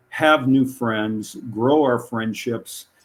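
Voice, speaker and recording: This man speaks with an American accent at a medium pitch. His intonation is fairly even. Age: 70s. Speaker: longevity advocate. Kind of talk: interview. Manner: hesitant, many fillers.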